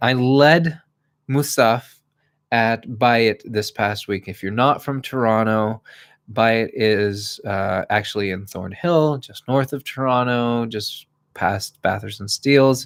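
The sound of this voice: A man's medium-pitched voice, clear and smooth in tone, at a slow pace with ordinary pitch variation.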